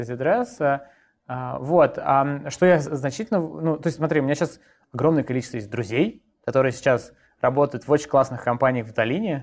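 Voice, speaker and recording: A man talks with a normal speaking voice at a fairly high pitch. His pace is moderate and his pitch variation ordinary. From Moscow, Russia. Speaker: coding bootcamp founder. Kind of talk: interview.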